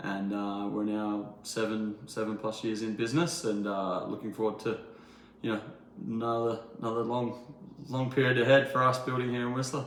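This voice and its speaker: With an Australian accent, a man talks at a moderate pace and a medium pitch amid audible room echo. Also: fairly even intonation. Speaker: builder. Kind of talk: interview. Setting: in a townhome under renovation. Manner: hesitant, many fillers.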